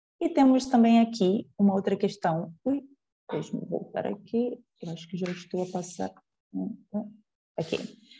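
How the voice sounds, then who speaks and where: A woman at medium pitch and moderate pace speaks in a dark, mellow, somewhat breathy tone with lively intonation, long, frequent pauses and big swings in loudness. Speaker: lecturer. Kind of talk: lecture.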